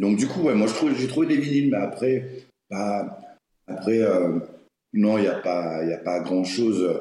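Fairly slow delivery from a man with a fairly low pitch, ordinary pitch variation, long, frequent pauses and audible room echo. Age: 40s. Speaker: garbage collector and social media creator. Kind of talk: casual interview chat.

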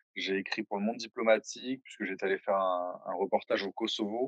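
The sound is dry and close with no echo. A man talks at a fairly quick pace in an unremarkable speaking voice of fairly low pitch. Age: 20s. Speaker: sports video creator. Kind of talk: casual interview.

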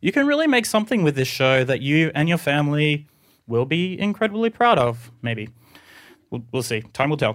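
With an Australian accent, a man speaks at a moderate pace in a fairly high pitch, his voice swinging very widely in pitch. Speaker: podcast producer and artist. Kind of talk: reading a letter aloud to an audience. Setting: stage with audience.

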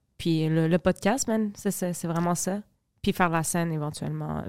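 In a very clean, dry and close recording with a silent background and no echo, a woman with an ordinary speaking voice talks at a fairly slow pace, her fairly low pitch held in fairly even intonation. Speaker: podcast co-host. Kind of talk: casual chat.

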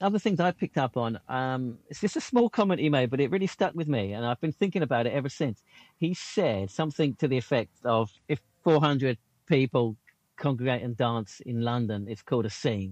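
With a British accent, the speaker moves at a fairly quick pace with lively intonation. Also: man, medium pitch for a man, dry, close sound with no echo. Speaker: podcast co-host. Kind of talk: casual podcast chat.

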